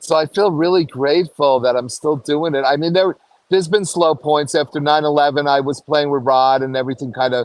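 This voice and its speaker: Talking with an American accent, a man keeps a fairly quick pace and fairly even intonation at a fairly high pitch. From New York. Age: 60s. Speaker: saxophonist. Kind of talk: interview. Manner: halting.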